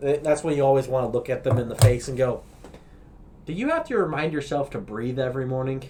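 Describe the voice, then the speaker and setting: Very fast speech with ordinary pitch variation, in an American accent. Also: man, fairly high pitch for a man. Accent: slight Colorado accent, per others. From Colorado. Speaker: podcast host. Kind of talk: casual chat. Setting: smoking a cigar while recording.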